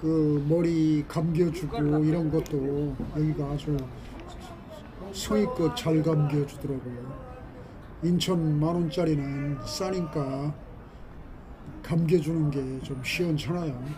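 Delivery is very slow, with long, frequent pauses and noticeable background noise. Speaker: walking vlogger. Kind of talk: casual vlog chat. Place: street. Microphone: phone near.

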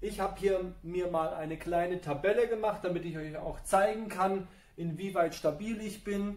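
Audible room echo follows a man speaking high for a man at a moderate pace. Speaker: fitness trainer. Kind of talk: workout explanation. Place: gym. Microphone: camera far.

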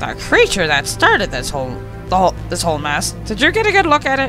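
Loud music plays behind a man using a put-on character voice at a moderate pace. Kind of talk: comic put-on monster voice. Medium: game stream. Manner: pompous, boastful.

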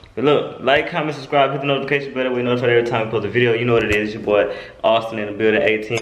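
A man talks at a very fast pace with ordinary pitch variation. Audible room echo and light background noise are present. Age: 20s. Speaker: YouTuber doing prank videos. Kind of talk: casual vlog chat. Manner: animated. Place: home room. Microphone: phone near.

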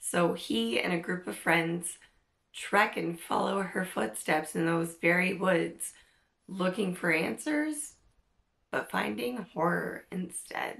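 Slow speech with vocal fry and a fairly bright tone comes through. Pitch variation is ordinary, and room echo is audible. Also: woman, fairly low pitch for a woman.

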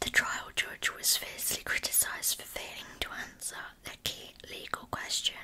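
Someone is whispering. The pace is moderate. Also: woman. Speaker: true crime narrator. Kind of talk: true crime storytelling narration. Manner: soft ASMR-style close voice. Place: home room. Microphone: earbuds.

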